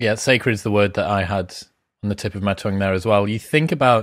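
A man with a British accent speaks at a fairly quick pace. The background is quiet. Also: dry sound with no echo. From UK. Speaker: podcast host. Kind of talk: interview conversation. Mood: thoughtful, calm. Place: home room. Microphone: studio mic.

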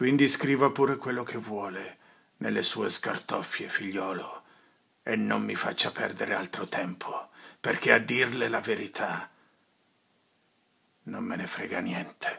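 Putting on a raspy character voice at a medium pitch, a man speaks at a fairly slow pace with long, frequent pauses. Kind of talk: dramatic film monologue.

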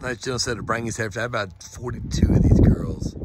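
A man speaks with an American accent at a fairly low pitch. Noticeable background noise can be heard. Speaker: cattle seller. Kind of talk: cattle sale pitch. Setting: outdoors at a ranch. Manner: fast, plain-spoken salesman patter.

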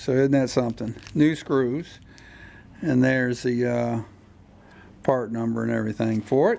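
A man talks at a fairly slow pace, leaving long, frequent pauses. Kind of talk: tutorial. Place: garage. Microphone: camera far.

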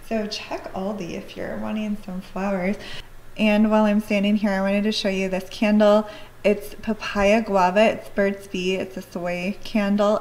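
With a normal speaking voice, a woman talks at a moderate pace and medium pitch with fairly even intonation, over light background noise. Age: 40s. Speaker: lifestyle vlogger. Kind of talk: casual vlog talk to camera. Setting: at home, handheld camera.

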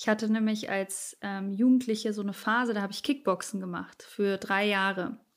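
Speaking at a moderate pace with hardly any pauses, a woman keeps a medium pitch and fairly even intonation. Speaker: musician and TV presenter. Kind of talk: casual interview. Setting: remote call from home studio.

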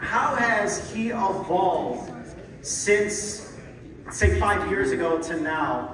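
An animated tone with ordinary pitch variation comes through audible room echo and light background noise. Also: man. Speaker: press conference emcee. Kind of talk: announcer, hyping introductions; interview question. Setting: press conference with PA. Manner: animated, loud. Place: hall. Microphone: pa.

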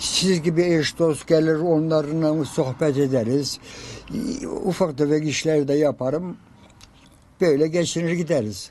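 A man speaks very slowly with fairly high pitch, ordinary pitch variation and very even loudness. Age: 80s+. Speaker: quilt maker. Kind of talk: interview answer.

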